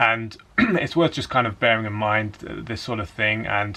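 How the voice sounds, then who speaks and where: With an English accent, a man speaks in a fairly low pitch with a bright, sharp tone. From England. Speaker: dating coach. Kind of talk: casual talk to camera.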